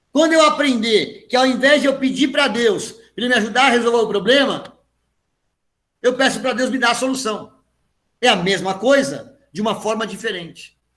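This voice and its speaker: This man's voice sits at an extremely high pitch, with a bright, sharp tone and big swings in loudness. He talks at a moderate pace, and audible room echo surrounds him. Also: ordinary pitch variation. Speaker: pastor. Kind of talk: sermon.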